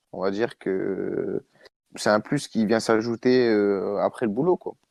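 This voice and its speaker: Dry and close with no echo, a man speaks at a very slow pace with ordinary pitch variation. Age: 20s. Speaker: amateur footballer. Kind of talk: casual chat. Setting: podcast recording. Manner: halting.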